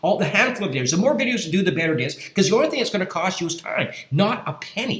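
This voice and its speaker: Over noticeable background noise, a man speaks very fast at a high pitch with very wide pitch swings. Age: 60s. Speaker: affiliate marketing youtuber. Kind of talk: screen-share tutorial pitch. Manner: halting, many fillers and repeats.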